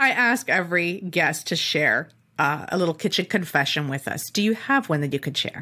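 In a plain, everyday voice with a Canadian accent, a woman speaks at a moderate pace with a fairly low pitch and lively intonation. The recording is very clean, with a silent background. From Canada. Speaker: podcast host and chef. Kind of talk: interview.

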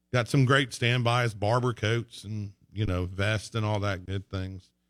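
Fairly low in pitch, a man speaks at a fairly slow pace with fairly even intonation. The recording is very clean, with a silent background. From Texas. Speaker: clothing store owner. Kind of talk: casual radio interview. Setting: radio studio.

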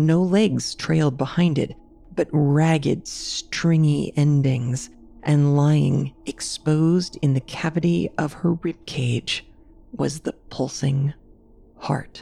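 A woman speaks at a very slow pace in a very deep, low voice with a dark, mellow tone. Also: ordinary pitch variation. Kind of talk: horror story narration. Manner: hushed, eerie, creeping.

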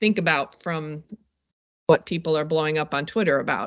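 At a moderate pace and with ordinary pitch variation, a woman speaks in an unremarkable speaking voice against a quiet background. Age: 50s. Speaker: safety expert and documentary producer. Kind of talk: interview.

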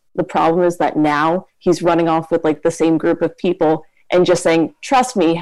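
This woman has a plain, everyday voice, fairly low in pitch, delivered at a moderate pace with very even loudness and fairly even intonation. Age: 20s. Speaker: caller. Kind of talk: advice call. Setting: phone call.

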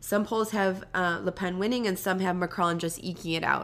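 Fairly low pitch for a woman, bright, sharp tone, ordinary pitch variation, and a fairly quick pace. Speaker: podcast co-host. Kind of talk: casual chat.

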